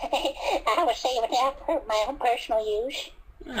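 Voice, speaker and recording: The high, female-sounding voice is a put-on character voice. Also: moderate pace. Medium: fan dub. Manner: rambling.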